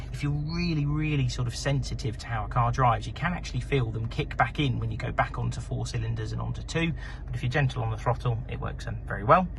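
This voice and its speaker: A man speaks at a very fast pace with hardly any pauses. Background noise is noticeable, and the room echo is audible. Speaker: car salesperson. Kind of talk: sales pitch.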